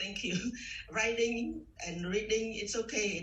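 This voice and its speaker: A woman talks with a Cambodian accent. Music plays in the background, and the room echo is audible. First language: Khmer. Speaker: trading student. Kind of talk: interview. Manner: halting.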